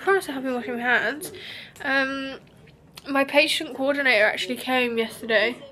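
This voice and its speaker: A woman with a British accent speaks in a raised, projected, high-pitched voice. She leaves long, frequent pauses, and noticeable background noise is present. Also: ordinary pitch variation, fairly quick pace. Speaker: beauty vlogger. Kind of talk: vlog. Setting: hotel room. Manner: casual, chatty.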